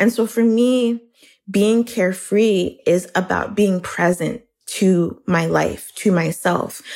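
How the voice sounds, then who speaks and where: Very even in loudness, a woman speaks at a very slow pace with fairly even intonation. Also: medium pitch for a woman. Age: 30s. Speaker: writer. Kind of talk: interview.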